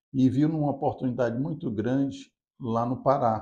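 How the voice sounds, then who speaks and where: A man speaks in a dark, mellow tone at a moderate pace. His pitch varies in an ordinary way. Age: 60s. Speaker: business founder. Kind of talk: interview.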